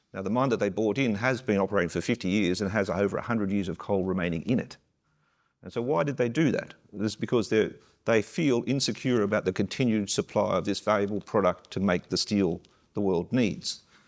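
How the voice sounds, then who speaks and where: Speaking with an Australian accent at a fairly quick pace, the voice shows ordinary pitch variation. The background is quiet. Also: man, fairly low pitch for a man. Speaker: mining company CEO, panelist. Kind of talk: panel discussion.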